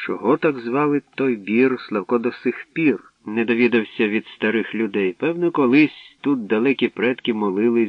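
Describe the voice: The speaker uses plain reading aloud. Pitch shows ordinary variation.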